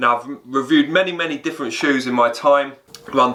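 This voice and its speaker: A man talks at a fairly quick pace in an English accent with a medium pitch. His intonation is fairly even, and background noise is noticeable. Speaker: fitness YouTuber, running coach. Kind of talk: product review. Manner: halting, repeats words.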